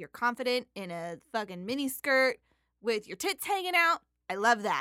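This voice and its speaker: A woman speaks at a moderate pace in a high pitch with a bright, sharp tone and very wide pitch swings. Her loudness swings widely, and the sound is dry and close with no echo. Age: 20s. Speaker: podcast host's wife reading the Bible. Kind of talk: casual chat. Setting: home studio.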